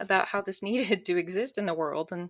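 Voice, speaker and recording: Against a quiet background, a woman talks with a fairly low pitch. Her pitch variation is ordinary. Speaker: mortician and witch. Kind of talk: interview. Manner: halting, many repeated words.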